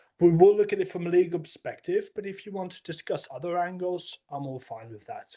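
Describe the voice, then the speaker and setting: A man talks at a fairly quick pace with hardly any pauses, his high-pitched voice dark and mellow in tone, with ordinary pitch variation and big swings in loudness. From Netherlands. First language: Dutch. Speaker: compliance account manager. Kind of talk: webinar presentation. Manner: hesitant, with false starts.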